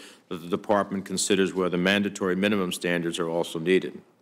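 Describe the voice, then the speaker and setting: In an ordinary speaking voice, a man talks at a fairly low pitch with fairly even intonation. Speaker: US senator. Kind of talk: Senate committee hearing remarks.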